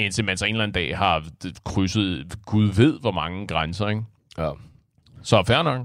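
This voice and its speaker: With an animated tone, a man speaks at a fairly slow pace in a fairly low pitch, leaving long, frequent pauses. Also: very clean recording, silent background. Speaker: amateur podcast co-host. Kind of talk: casual chat.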